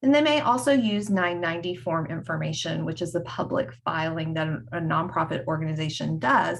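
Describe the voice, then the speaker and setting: Speaking with a North Carolina accent, a woman uses a very deep, low voice with vocal fry. Her intonation is lively and her pace fairly quick. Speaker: HR consultant. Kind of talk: conference presentation. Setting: screen-shared online presentation.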